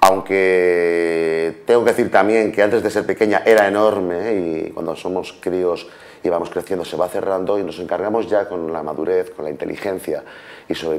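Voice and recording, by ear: Fairly even intonation at a moderate pace. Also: man.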